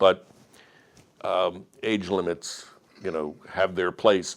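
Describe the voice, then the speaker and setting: Against a quiet background, a man speaks with an American accent. His pitch is very deep and low, with ordinary variation. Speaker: retired judge. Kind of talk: public Q&A.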